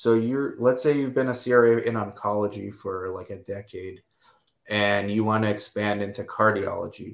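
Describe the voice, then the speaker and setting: A man with an unremarkable speaking voice talks at a moderate speed, his fairly low pitch held in fairly even intonation. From United States (born in Romania, moved at three). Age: 40s. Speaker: clinical research site owner. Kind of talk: casual interview. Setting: live stream video call.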